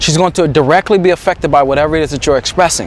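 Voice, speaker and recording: Over noticeable background noise, a man talks in an animated tone with ordinary pitch variation. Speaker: dating coach. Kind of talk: monologue to camera. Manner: occasional stutter.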